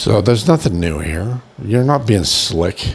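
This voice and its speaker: Noticeable background noise sits behind a man with a Boston accent. He speaks at a fairly slow pace with lively intonation. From Boston, US. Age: 60s. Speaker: video blogger, nursing home resident. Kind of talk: casual vlog monologue. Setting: in bed at a nursing home. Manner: rambling, halting.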